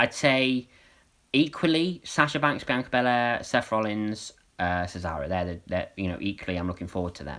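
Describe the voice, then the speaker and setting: With a British accent, a man talks at a moderate pace in a bright, sharp tone, his fairly low pitch swinging very widely. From UK. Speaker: wrestling streamer. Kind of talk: live stream watch-along chat. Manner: hesitant, many fillers.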